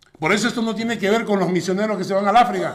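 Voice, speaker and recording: Audible room echo and noticeable background noise around a male voice with ordinary pitch variation. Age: 60s. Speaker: pastor. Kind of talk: sermon.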